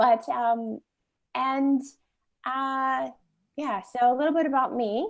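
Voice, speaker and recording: Slow and high, a woman speaks at a very slow pace with an American accent and ordinary pitch variation. Long, frequent pauses come between her words. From US Midwest. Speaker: wellness author. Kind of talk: interview.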